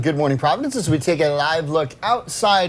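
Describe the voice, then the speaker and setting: A man with an American accent and lively intonation, music in the background. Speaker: TV news anchor and reporter. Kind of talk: TV news anchor read.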